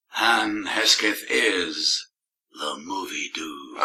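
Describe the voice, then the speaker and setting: Putting on a character voice, a man sounds raspy. His delivery is very slow. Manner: dramatic.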